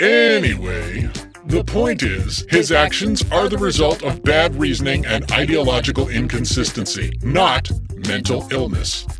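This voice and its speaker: A man at a fairly slow pace with music in the background. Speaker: masked vigilante persona, comedic instructional video host. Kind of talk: comedic instructional talk to camera, in-character superhero persona.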